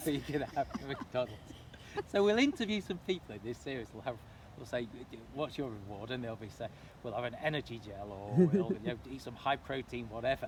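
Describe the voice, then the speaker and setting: In a normal speaking voice, a man talks fairly quickly at medium pitch, with lively intonation and big swings in loudness. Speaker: run club interviewer. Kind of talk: casual interview questions.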